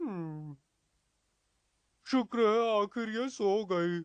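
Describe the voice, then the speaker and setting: A cartoonish character voice at a fairly high pitch against a quiet background. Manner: whiny, complaining.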